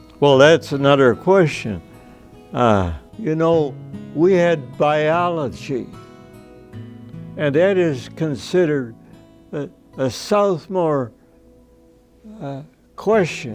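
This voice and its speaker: A man at a very slow pace with lively intonation and long, frequent pauses, music in the background. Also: fairly high pitch for a man. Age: 80s+. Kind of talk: interview answer.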